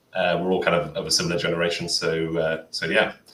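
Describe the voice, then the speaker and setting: This man talks at a very fast pace. He has a British accent. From United Kingdom. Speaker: volunteer web developer. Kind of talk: tutorial; casual chat. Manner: halting.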